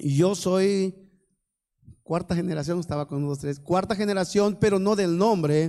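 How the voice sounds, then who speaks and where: At a fairly slow pace, a man with a high pitch and ordinary pitch variation speaks in a dark, mellow tone. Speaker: preacher. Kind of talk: sermon. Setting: church service.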